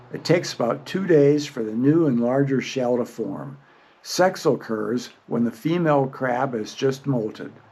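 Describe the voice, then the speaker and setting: Noticeable background noise fills the recording. Through it, a man speaks fairly slowly. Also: medium pitch for a man, ordinary pitch variation. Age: 70s. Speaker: video blogger. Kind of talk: narration to camera.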